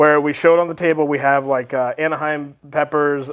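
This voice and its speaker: In an American accent, a man talks at a fairly quick pace with a fairly high pitch and monotone, flat intonation. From Texas. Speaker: video show host. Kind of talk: casual chat.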